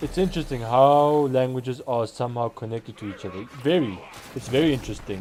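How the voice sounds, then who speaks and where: Noticeable background noise surrounds a man talking at a very fast pace. His pitch is medium, with ordinary variation. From South Africa. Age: 20s. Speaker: gaming streamer. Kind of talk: live game stream chat. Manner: animated.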